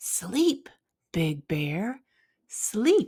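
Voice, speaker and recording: A woman's put-on character voice at medium pitch, full of very wide pitch swings. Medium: read story. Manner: coaxing, repetitive.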